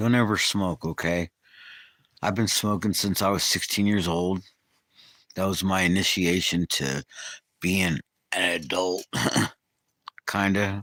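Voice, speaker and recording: A man with a very deep, low pitch and an American accent, fairly slow with long, frequent pauses, very even loudness, fairly even intonation, and a bright, sharp tone in a dry, close recording with no echo. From California, Bay Area. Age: 60s. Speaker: livestreamer. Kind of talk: casual live chat. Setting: outdoors.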